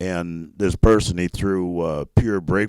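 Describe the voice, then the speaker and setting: A man's fairly even intonation on a very clean recording with a silent background and a dry, close sound with no echo. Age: 60s. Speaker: race flagman. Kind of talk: interview.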